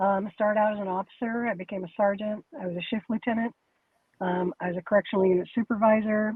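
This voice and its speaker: A woman with a normal speaking voice talks at a fairly quick pace, her medium pitch showing ordinary variation. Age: 60s. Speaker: retired corrections officer. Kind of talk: casual interview chat.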